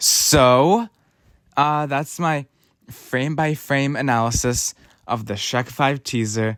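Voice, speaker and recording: Delivered very slowly with long, frequent pauses, the speech has ordinary pitch variation and a dry, close sound with no echo. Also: man. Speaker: youtuber, film commentator. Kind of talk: video commentary. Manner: casual, halting with fillers.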